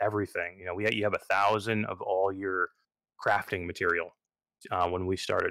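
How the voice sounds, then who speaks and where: The recording is very clean with a silent background as a man talks in a fairly low pitch with a bright, sharp tone. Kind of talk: casual chat.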